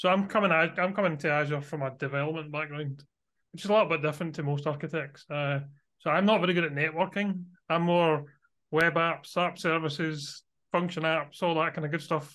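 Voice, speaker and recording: Against a quiet background, a man with a Glasgow accent talks at a fairly quick pace in a fairly high pitch, his intonation fairly even. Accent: Scottish (Glaswegian). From Glasgow, Scotland. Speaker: Azure architect and MVP. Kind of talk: casual interview chat.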